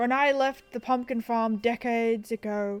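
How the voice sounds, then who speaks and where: A put-on character voice, female-sounding and fairly high in pitch for a woman. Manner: reminiscing.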